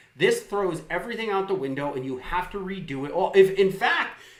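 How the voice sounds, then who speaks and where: Loud and at a moderate pace, a man's voice carries audible room echo over noticeable background noise. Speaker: live streamer. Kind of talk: political rant. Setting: live stream. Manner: animated.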